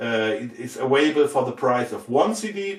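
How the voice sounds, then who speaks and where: A man with a German accent, very wide pitch swings and a moderate pace. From Germany. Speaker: record label A&R and musician, video host. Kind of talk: casual unboxing video talk. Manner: halting with many fillers.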